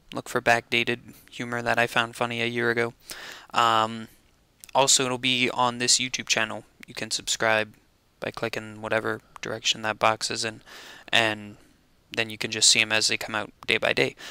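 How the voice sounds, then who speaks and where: A man's voice is bright and sharp, with monotone, flat intonation. He moves at a moderate pace with long, frequent pauses, in a dry sound with no echo. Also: quiet background. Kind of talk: casual vlog chat. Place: home room. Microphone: headset.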